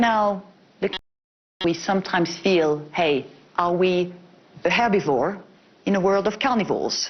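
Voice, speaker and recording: A woman talks in a French accent at a fairly slow pace, with long, frequent pauses. Her loudness stays very even. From France. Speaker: bank executive. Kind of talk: panel discussion.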